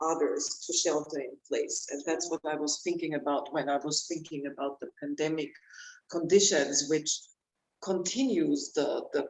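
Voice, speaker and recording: A German accent shapes the speech. It moves at a moderate pace. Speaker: author and researcher. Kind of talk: panel discussion. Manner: halting.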